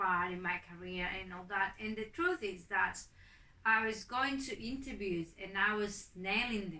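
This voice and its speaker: In a non-native accent, a woman speaks at a medium pitch with a bright, sharp tone. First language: not English. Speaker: migrant interviewee. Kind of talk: interview testimony. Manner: hesitant, many fillers.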